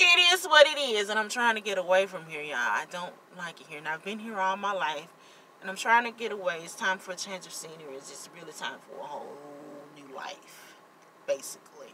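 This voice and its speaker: A woman with a Mississippi accent speaks at a medium pitch, with very wide pitch swings and big swings in loudness. Noticeable background noise is present. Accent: Southern US (Mississippi). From US South, Jackson, Mississippi. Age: 30s. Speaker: vlogger and party decorator. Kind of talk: casual vlog chat. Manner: halting, repeats words.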